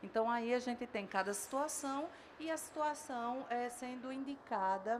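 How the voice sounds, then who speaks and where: With audible room echo, a woman speaks in a northeastern Brazilian accent at a fairly slow pace, her high pitch showing ordinary variation. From Northeast Brazil. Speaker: dentistry professor. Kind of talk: lecture.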